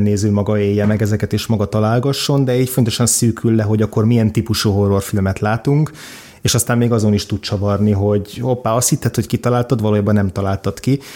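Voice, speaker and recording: Dark and mellow in tone, the voice races at a very fast pace with hardly any pauses, fairly even intonation and very even loudness, on a very clean recording with a silent background. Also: man. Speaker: film critic. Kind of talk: casual chat about films.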